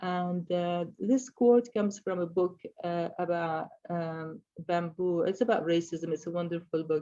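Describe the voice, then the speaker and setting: A woman speaks with an Arabic accent and a dark, mellow tone. Her pitch is fairly low and her intonation fairly even. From Middle East. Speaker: sculptor. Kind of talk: artist presentation of slides. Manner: halting, many fillers.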